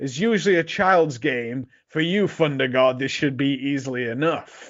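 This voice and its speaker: A man uses a put-on character voice with a fairly high pitch at a moderate pace. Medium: read story. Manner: condescending.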